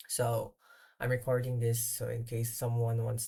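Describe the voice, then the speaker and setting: A non-native accent in a very clean recording with a silent background. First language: not English. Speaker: software developer. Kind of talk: screen-recorded tutorial. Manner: halting, many fillers.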